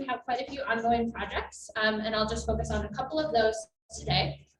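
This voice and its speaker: Audible room echo surrounds speech delivered at a very fast pace. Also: woman. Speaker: assistant professor and cancer researcher. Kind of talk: conference presentation. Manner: trying to project, speaking loudly. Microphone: microphone cutting out, remote listeners can't hear.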